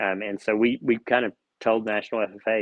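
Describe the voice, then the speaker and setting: The speaker is a man with an American accent. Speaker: auctioneer and auction school instructor. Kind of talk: podcast interview answer.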